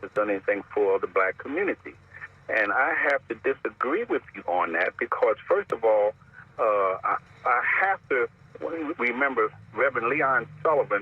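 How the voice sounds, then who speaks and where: Amid noticeable background noise, a man speaks at a moderate pace with long, frequent pauses. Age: 80s+. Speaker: caller. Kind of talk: call-in radio comment. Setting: phone call. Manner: halting.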